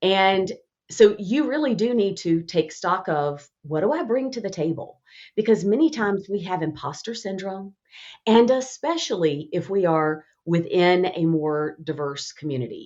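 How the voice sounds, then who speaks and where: In a Southern accent, a woman speaks at a moderate pace and medium pitch with very wide pitch swings. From Alabama, US South. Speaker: communication expert and author. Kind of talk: podcast interview.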